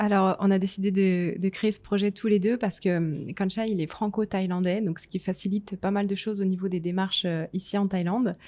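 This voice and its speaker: A woman's dark, mellow tone at a medium pitch, fairly quick in pace with hardly any pauses, in a monotone, flat intonation. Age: 30s. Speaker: podcast host, business owner. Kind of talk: casual conversation.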